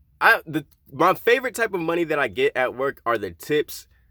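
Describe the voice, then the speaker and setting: A man speaks with vocal fry on a very clean recording with a silent background. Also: dry, close sound with no echo. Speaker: vlogger living in a van. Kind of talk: casual vlog monologue.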